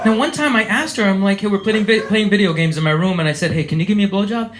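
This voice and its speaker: Through audible room echo and noticeable background noise, a man with an American accent and high pitch talks at a very fast pace with lively intonation. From USA. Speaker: comedian. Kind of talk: stand-up. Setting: stage with audience.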